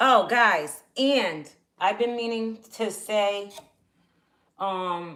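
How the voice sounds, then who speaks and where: Loud and bright, a woman's sharp voice moves at a very slow pace with long, frequent pauses. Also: medium pitch for a woman, ordinary pitch variation. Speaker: RV lifestyle vlogger. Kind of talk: casual livestream chat while cooking.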